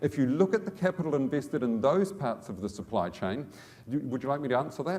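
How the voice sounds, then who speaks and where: Noticeable background noise sits behind a man talking at a very fast pace. His pitch is fairly high and swings very widely. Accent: New Zealand. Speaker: business executive. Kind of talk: conference talk. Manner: repetitive stammering starts.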